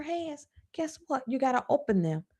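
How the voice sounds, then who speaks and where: A woman speaks at a moderate pace with a Southern US accent. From US South. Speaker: personal finance coach. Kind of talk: live stream talk. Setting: live stream.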